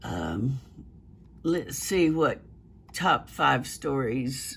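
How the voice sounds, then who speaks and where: A voice in a Southern US accent on a very clean recording with a silent background. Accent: Southern US country. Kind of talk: casual news commentary to camera. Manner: hesitant, conversational.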